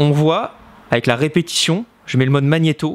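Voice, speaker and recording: A man with a fairly high-pitched, unremarkable speaking voice talks at a moderate pace. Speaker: knife thrower, video creator. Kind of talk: reaction video commentary.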